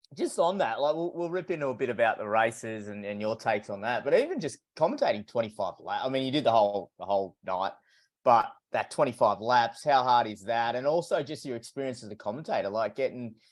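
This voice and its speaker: Very fast, lively speech from a man with an Australian accent at a medium pitch, over a quiet background. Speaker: podcast host. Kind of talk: casual chat.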